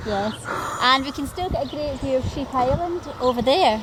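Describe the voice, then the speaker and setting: A high-pitched woman talks at a moderate pace while noticeable background noise is heard. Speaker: travel vlogger. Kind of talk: walking tour narration. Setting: outdoors on coastal walk. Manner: enthusiastic.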